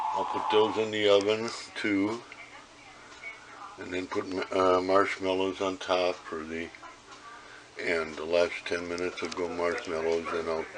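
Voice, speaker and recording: Over noticeable background noise, a man speaks at a fairly slow pace in a very deep, low pitch, with long, frequent pauses. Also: fairly even intonation. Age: 70s. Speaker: home cook. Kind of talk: casual cooking demonstration.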